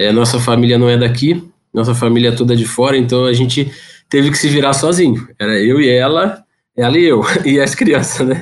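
A man talks at a moderate pace and a medium pitch. His is a plain, everyday voice with ordinary pitch variation. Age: 30s. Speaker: electrical engineer and father. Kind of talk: casual interview chat.

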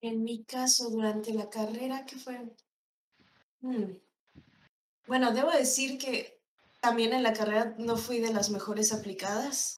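A woman speaks fairly slowly at a fairly high pitch, with long, frequent pauses. Her intonation is fairly even, and the room echo is audible. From State of Mexico. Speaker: animator. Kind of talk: interview.

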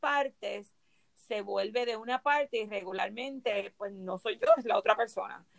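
The sound is dry and close, with no echo. A woman speaks in a high voice. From Puerto Rico. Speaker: yoga and holistic wellness instructor. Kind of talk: casual chat.

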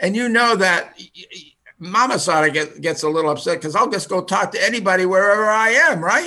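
Raised and projected, a man's high-pitched voice carries a bright, sharp tone and an American accent at a fairly quick pace. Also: ordinary pitch variation. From US, Finnish American home. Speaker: retired college radio advisor, professor. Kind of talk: casual interview podcast. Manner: halting, many fillers and repetitions.

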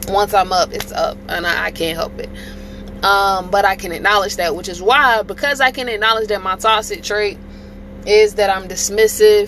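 Noticeable background noise sits behind the recording. A woman talks at a moderate pace. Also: medium pitch for a woman, ordinary pitch variation. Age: 30s. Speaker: podcast host. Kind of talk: casual monologue.

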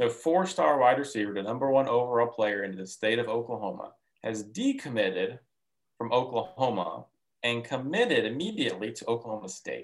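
Using a plain, everyday voice, a man speaks at a medium pitch and a fairly quick pace with ordinary pitch variation. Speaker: co-host, recruiting reporter. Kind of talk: casual sports chat.

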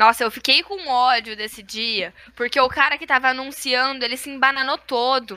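A raised, projected voice with a bright, sharp tone, big swings in loudness, ordinary pitch variation and a moderate pace. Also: woman, high pitch for a woman. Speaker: former cheerleading captain. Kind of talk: casual chat.

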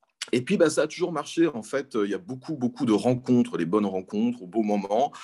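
A man speaks at a moderate pace with lively intonation in a plain, everyday voice. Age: 40s. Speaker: philosophy teacher. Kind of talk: interview.

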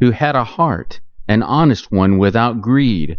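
With lively intonation, a natural voice reads aloud.

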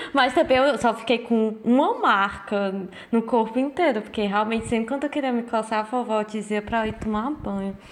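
A woman with a fairly high pitch and ordinary pitch variation talks at a moderate pace while noticeable background noise plays. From Brazil. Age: 20s. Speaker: podcast co-host. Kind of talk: casual chat.

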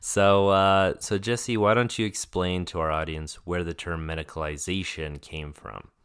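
Hardly any pauses break this speech with an American accent and ordinary pitch variation, captured in a very clean recording with a silent background. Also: man, very deep, low pitch for a man, moderate pace. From Colorado, US. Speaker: podcast co-host, new doctor. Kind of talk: casual chat.

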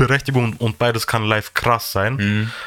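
A man with a bright, sharp tone. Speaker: podcast host. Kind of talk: casual chat. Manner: animated.

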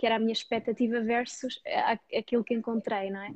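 A woman speaks in a high voice. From Portugal, Dutch parents. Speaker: personal finance YouTuber. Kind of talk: interview.

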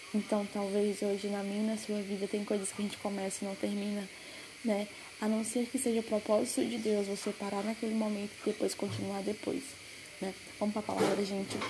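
Over noticeable background noise, a woman talks at a fairly quick pace. Her medium-pitched voice has monotone, flat intonation. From Brazil, Pará. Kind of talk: devotional message.

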